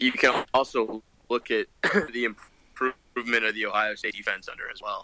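Recorded dry and close with no echo, a man with a Midwestern American accent talks at a moderate pace, his loudness swinging widely. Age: 20s. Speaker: college football podcast co-host. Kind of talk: casual chat.

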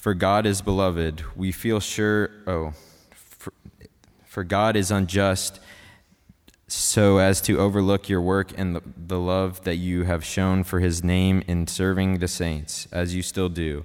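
A man with an American accent speaks in a very deep, low voice. His pace is fairly slow and his intonation monotone and flat. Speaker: college student scripture reader. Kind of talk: scripture reading. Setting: church.

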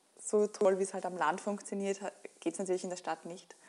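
A woman talks rather quickly while noticeable noise fills the background. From Lower Austria, near Krems. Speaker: company founder. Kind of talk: interview. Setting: village inn.

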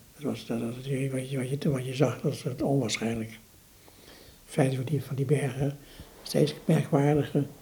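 At a moderate pace broken by long, frequent pauses, a man speaks in a dark, mellow, somewhat breathy voice with big swings in loudness. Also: medium pitch for a man, fairly even intonation. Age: 70s. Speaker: museum director and exhibition curator. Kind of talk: interview about art history. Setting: in his living room. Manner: halting.

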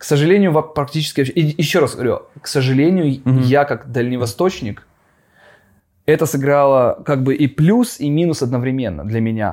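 A man with a normal speaking voice, fairly high pitch, ordinary pitch variation and a moderate pace. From Russian Far East, Khabarovsk. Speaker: animation studio owner. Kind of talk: casual interview. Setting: studio.

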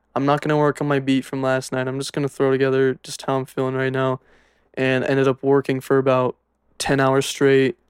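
A man with an American accent, medium pitch, monotone flat intonation and a fairly quick pace. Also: dry, close sound with no echo. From Utah. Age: 20s. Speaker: music producer. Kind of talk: casual chat.

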